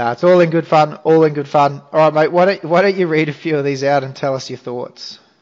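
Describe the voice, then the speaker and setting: A man with an Australian accent talks at a very fast pace with hardly any pauses. His pitch is fairly high and his intonation fairly even. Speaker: podcast host, fantasy rugby league. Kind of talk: casual chat, podcast. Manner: casual, conversational.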